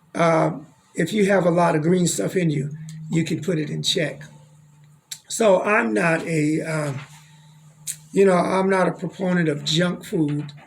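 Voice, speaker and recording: This man has a high pitch and an American accent, speaking fairly slowly with ordinary pitch variation and long, frequent pauses, against audible room echo and noticeable background noise. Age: 60s. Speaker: doctor and health show host. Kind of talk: radio talk show conversation.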